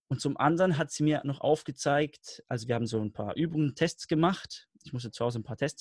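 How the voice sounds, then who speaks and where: A man talks at a very fast pace in a fairly high, somewhat breathy voice. His pitch varies in an ordinary way, and the sound is dry and close with no echo. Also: hardly any pauses. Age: 20s. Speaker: learning coach. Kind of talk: interview.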